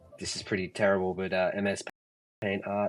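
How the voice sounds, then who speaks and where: With an Australian accent, a man speaks in a fairly low pitch and a monotone, flat intonation. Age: 30s. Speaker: artist and photographer. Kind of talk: casual chat. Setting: online audio space. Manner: halting, many fillers.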